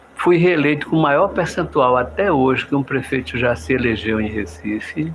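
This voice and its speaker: A man at medium pitch and a moderate pace with very wide pitch swings, over noticeable background noise. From Pernambuco, Brazil (Olinda). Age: 70s. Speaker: politician. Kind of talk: radio interview.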